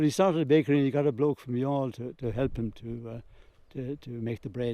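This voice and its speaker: Fairly quick and fairly even in intonation, a man speaks in a Waterford accent with a dark, mellow tone. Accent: Irish, Waterford. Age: 80s+. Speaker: local elder sharing family history. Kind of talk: oral history interview. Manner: halting.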